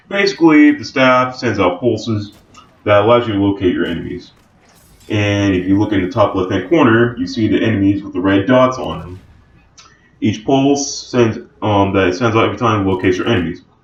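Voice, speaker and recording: Through noticeable background noise, a man speaks at a fairly low pitch with ordinary pitch variation. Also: fairly quick pace. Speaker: gaming YouTuber. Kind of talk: casual gameplay commentary.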